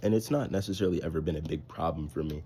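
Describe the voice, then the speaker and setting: A man speaks at a fairly quick pace in a dark, mellow tone, with lively intonation and vocal fry. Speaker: vlogger. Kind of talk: casual vlog monologue. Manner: fast.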